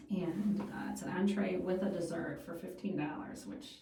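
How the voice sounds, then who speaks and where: Speaking at a fairly slow pace, a woman is heard in a room with audible echo. Noticeable background noise runs underneath. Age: 50s. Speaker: food radio show and podcast host. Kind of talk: casual chat.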